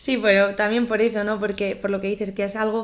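A woman's medium-pitched voice, very fast and monotone with flat intonation. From Navarra, northern Spain. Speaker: podcast host. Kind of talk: interview.

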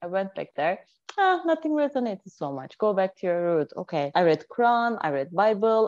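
A woman with a Turkish accent, her pitch swinging very widely, at a moderate pace, in a dry, close sound with no echo. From Turkey (Anatolia). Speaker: intuitive healer and life coach. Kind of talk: casual interview chat.

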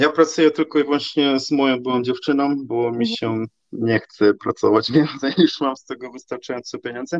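A man with an ordinary speaking voice, a fairly high pitch, ordinary pitch variation, big swings in loudness, a fairly quick pace with hardly any pauses, and a dry, close sound with no echo. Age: 30s. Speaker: online content manager. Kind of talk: casual interview.

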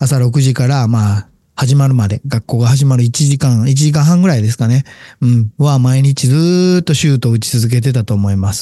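A man's somewhat breathy voice, dark and mellow in tone, with ordinary pitch variation and a dry, close sound with no echo. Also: medium pitch for a man, moderate pace. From Japan, Wakayama. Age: 40s. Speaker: business owner podcaster. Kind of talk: solo monologue. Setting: home recording. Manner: many filler pauses.

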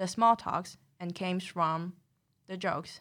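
A woman talks at a fairly slow pace in a Taiwanese accent, her pitch medium. The recording is very clean, with a silent background. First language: Mandarin. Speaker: graduate student. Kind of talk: casual chat.

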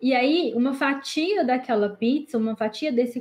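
In a strong Minas Gerais accent, a woman speaks at a moderate pace with a high pitch and ordinary pitch variation. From Minas Gerais, Brazil. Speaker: accountant. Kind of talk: podcast interview, explaining technical topic.

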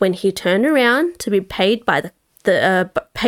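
Quiet background, lively intonation, and an unforced reading voice

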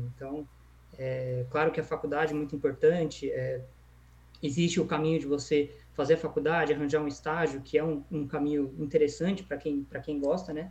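A man speaks at a fairly quick pace in a fairly high pitch, his somewhat breathy voice staying monotone and flat. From São Paulo state, Brazil. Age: 20s. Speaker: e-commerce entrepreneur. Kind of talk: casual interview. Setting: livestream.

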